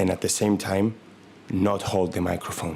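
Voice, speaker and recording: A man with a non-native accent speaks at a moderate pace in a very deep, low pitch with monotone, flat intonation. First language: not English. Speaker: comedy podcaster. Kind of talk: comedic monologue. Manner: halting; deadpan.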